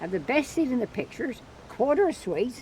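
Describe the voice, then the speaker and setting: She speaks in an Isle of Wight accent at a fairly quick pace. The woman's pitch swings very widely. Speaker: farmer and fossil museum owner. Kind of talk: interview answer. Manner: humorous.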